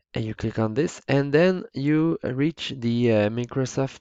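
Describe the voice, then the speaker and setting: A man speaks with a Quebec accent. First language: French. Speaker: teacher. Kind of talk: tutorial. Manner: halting, many fillers.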